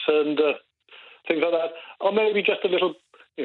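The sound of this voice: A man speaks at a fairly high pitch. His pitch variation is ordinary.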